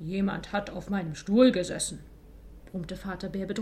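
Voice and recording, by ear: Here the text is being read aloud in a natural voice.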